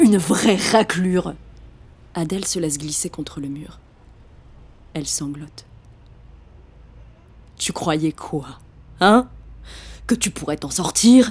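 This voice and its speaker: With lively intonation and a somewhat breathy voice, a woman talks at a very slow pace. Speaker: voice actor. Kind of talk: audiobook reading.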